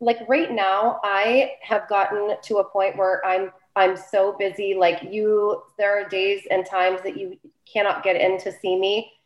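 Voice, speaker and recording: Using a plain, everyday voice, a woman speaks fairly slowly at a medium pitch. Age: 40s. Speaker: spray tanning business owner. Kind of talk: casual interview.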